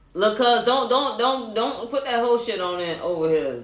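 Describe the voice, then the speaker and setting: Moderate-paced speech under noticeable background noise. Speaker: podcast co-host. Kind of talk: casual chat. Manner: animated.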